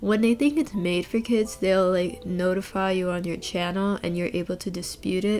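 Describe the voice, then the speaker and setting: Over background music, a woman speaks at a moderate pace and medium pitch with hardly any pauses. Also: ordinary pitch variation. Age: 20s. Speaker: gaming youtuber. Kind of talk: casual vlog rant. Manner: animated.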